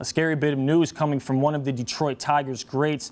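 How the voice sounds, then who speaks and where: A man talks at a moderate pace with a fairly high pitch. His is an unremarkable speaking voice. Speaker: sports anchor. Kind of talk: TV sports news anchor read. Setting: studio.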